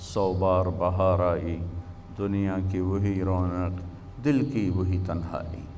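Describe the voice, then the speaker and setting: With a very deep, low pitch and a dark, mellow tone, a man speaks with fairly even intonation. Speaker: Islamic preacher. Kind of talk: Islamic sermon (bayan). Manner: emotional, passionate.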